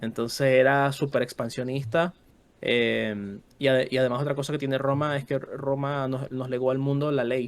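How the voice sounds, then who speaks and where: In a Venezuelan accent, a man speaks at a medium pitch and moderate pace. His intonation is flat and monotone. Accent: Venezuelan, kept. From Venezuela, Caracas. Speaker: history content creator. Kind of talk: casual podcast chat. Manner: halting.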